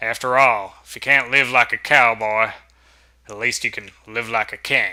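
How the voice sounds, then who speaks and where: A man uses a put-on character voice that is raspy, at a medium pitch. He keeps a moderate pace and a monotone, flat intonation. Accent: Southern. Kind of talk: narrating, storytelling.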